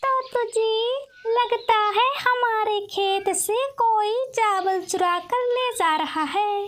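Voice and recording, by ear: In a cartoonish character voice with an extremely high pitch, a woman speaks at a very slow pace with hardly any pauses.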